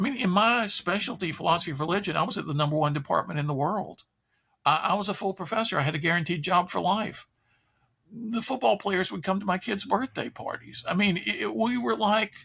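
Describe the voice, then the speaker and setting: A man's high-pitched, raised and projected voice, bright and sharp in tone with lively intonation, at a fairly quick pace in a very clean recording with a silent background. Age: 70s. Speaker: public philosopher and speaker. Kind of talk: interview conversation. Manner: animated.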